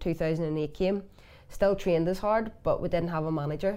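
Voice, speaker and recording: A woman talks in a Belfast accent at a fairly low pitch. Her tone is dark and mellow, her intonation fairly even. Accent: Belfast Northern Irish. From West Belfast, Northern Ireland. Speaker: former camogie player. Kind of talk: interview.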